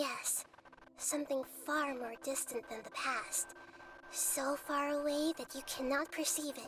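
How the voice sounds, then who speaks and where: Over clear background noise, a female-sounding put-on character voice speaks at a high pitch and a fairly slow pace. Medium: video game. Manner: gentle, measured.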